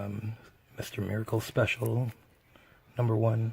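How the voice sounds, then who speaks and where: Somewhat breathy, this man's voice sits at a medium pitch. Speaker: comic book collector. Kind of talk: casual talk to camera.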